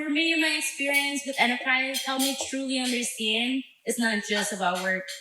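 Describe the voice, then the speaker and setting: A woman with a high pitch speaks at a moderate pace in a room with audible echo. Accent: Spanish. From Mexico. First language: Spanish. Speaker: former youth program intern. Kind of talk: speech.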